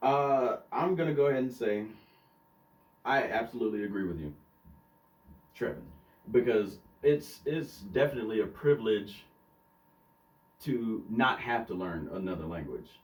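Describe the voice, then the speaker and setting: Using an American accent, a man speaks at a moderate pace and medium pitch with lively intonation and long, frequent pauses. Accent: Southern US, toned down on the podcast. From US South. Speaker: podcast co-host. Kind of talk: casual chat. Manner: hesitant, many fillers.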